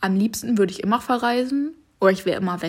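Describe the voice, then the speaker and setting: On a very clean recording with a silent background, a woman speaks at a moderate pace, somewhat breathy, with ordinary pitch variation. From western Germany (North Rhine-Westphalia). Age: 20s. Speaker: travel influencer and podcaster. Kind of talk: casual monologue. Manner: chatty, with frequent slips and fillers.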